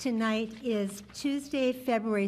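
A woman speaks in an ordinary speaking voice at a fairly slow pace. Her fairly high pitch shows ordinary variation. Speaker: mayor chairing city council meeting. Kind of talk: formal public meeting chairing. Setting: council chambers with public and some remote members.

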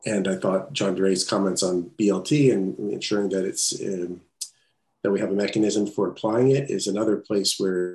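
At a moderate pace, a man speaks in a fairly low pitch with a dark, mellow tone. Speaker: city council member. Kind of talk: public meeting remarks. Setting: video call.

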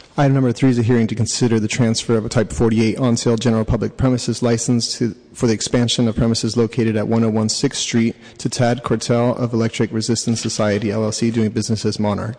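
A man with medium pitch talks at a very fast pace with hardly any pauses, his intonation monotone and flat and his loudness very even, over noticeable background noise. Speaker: committee clerk. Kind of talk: formal agenda reading. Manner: formal.

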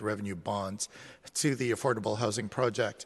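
A man with an ordinary speaking voice talks at a moderate pace and medium pitch, with ordinary pitch variation over a quiet background. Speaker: committee clerk. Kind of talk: formal procedural announcements. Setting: council chamber. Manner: formal.

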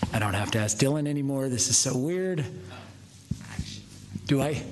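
Against noticeable background noise, a man speaks with lively intonation. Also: medium pitch for a man, moderate pace. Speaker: commission president chairing a public meeting. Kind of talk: formal meeting procedure mixed with casual asides.

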